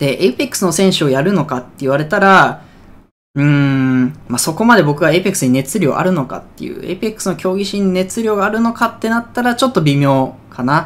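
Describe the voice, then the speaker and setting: Speaking very fast, a man uses a high pitch and lively intonation. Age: 20s. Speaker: esports player and streamer; streamer. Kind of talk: casual vlog announcement. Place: home room. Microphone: phone near.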